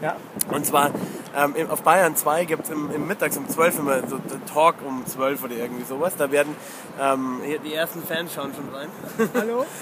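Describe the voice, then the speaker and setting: With long, frequent pauses, a man speaks at a moderate pace and a fairly high pitch, with ordinary pitch variation and noticeable background noise behind him. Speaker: football fan podcaster. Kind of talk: casual chat. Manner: animated ranting. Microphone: mono recording, technical problems.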